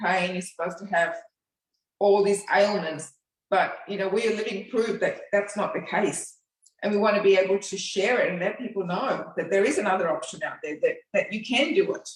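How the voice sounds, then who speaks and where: A woman's normal speaking voice, medium in pitch, with fairly even intonation at a fairly quick pace. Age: 60s. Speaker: fitness program participant. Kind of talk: interview.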